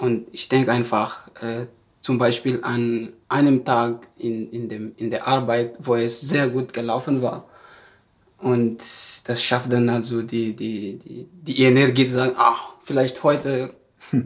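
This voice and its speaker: A man speaks very slowly at medium pitch with monotone, flat intonation. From Madagascar. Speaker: former volunteer, trainee nursing assistant. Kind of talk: interview. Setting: live at a seminar. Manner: halting.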